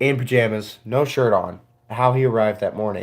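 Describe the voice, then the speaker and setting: This man talks at a moderate pace. His pitch sits in the middle range. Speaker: podcast co-host. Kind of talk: casual chat. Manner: loud.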